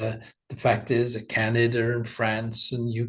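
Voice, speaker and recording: At a fairly slow pace, a man speaks in a somewhat breathy voice of medium pitch. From UK. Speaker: animation studio owner. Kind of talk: interview.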